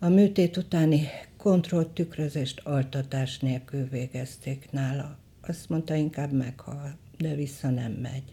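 Very slowly, a woman speaks in a very deep, low voice with a dark, mellow tone and a somewhat breathy quality. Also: ordinary pitch variation. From western Hungary, Sárvár. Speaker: photographer. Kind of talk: reading aloud of memoir.

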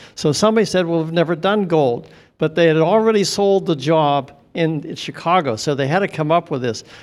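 Over music in the background, a man with a fairly high pitch speaks at a fairly quick pace. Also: ordinary pitch variation. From western Pennsylvania. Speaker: audience member. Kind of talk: audience question.

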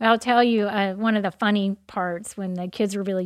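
A woman with a Texan accent, medium pitch, fairly even intonation and moderate pace, on a very clean recording with a silent background. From US South, southeast Texas. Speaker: church member, mother. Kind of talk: testimony.

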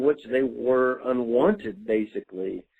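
A man with a Southern US accent. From Mississippi. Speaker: listener caller. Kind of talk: voicemail message. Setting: phone voicemail.

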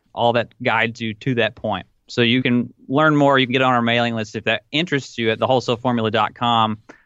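A man with a Tennessee accent talks at a very fast pace, medium pitch and fairly even intonation. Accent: Southern US (Tennessee), noticeable. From US South, Tennessee. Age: 20s. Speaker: online retail entrepreneur. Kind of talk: podcast interview.

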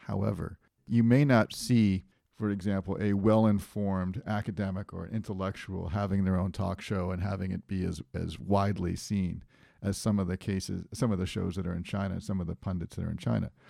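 A man with an American accent and a dark, mellow tone at a fairly quick pace, on a very clean recording with a silent background. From New England, US. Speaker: podcast host, teacher. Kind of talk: casual chat.

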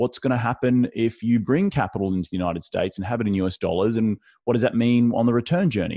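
Talking at a very fast pace, a man with an Australian accent and medium pitch is heard over a quiet background. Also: dry, close sound with no echo. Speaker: real estate investor. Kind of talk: podcast interview.

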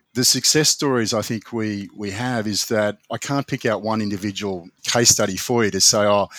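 In a dry, close recording with no echo, a man with a fairly low voice speaks at a fairly quick pace with fairly even intonation. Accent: Australian. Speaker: business owner and lawyer. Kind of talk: interview. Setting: remote call from office.

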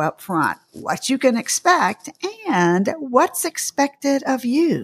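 Very slowly, a woman speaks in a high voice with very wide pitch swings. The sound is dry and close, with no echo. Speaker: podcast host and dietitian. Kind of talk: interview discussion.

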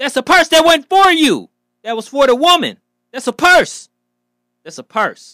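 A man speaks in a raised, projected voice with an animated, bright, sharp tone and very wide pitch swings. The recording is very clean with a silent background and a dry, close sound with no echo. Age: 40s. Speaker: podcast host. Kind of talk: casual monologue.

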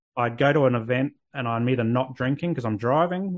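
At a fairly quick pace, a man talks. The variation in his pitch is ordinary. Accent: Australian. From Australia. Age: 30s. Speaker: men's mental health therapist. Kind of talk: interview.

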